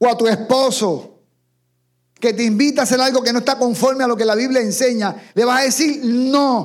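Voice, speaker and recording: Speaking at an extremely high pitch, a man keeps fairly even intonation and very even loudness at a moderate pace, on a very clean recording with a silent background. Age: 50s. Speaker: pastor. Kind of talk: sermon.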